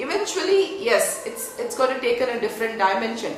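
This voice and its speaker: A woman talks in a high pitch. The room echo is audible, and background noise is noticeable. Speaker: spiritual education teacher. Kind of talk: online talk. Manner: soft-spoken; slow.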